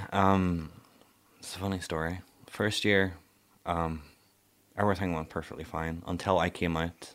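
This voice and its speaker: A man's very deep, low voice with a Northern Irish accent, monotone and flat, at a moderate pace with long, frequent pauses, on a very clean recording with a silent background. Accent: Northern Irish (Ballymena). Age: young. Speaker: care-experienced young person. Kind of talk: personal testimony.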